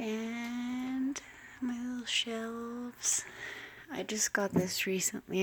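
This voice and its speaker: Here is a soft-spoken woman. Her pitch sits fairly high. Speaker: witchcraft vlogger. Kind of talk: casual home tour vlog. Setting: at home, late at night. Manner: hesitant, many fillers.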